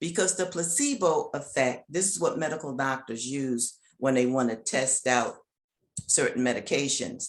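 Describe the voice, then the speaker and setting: A woman's animated voice. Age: 70s. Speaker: author. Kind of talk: interview.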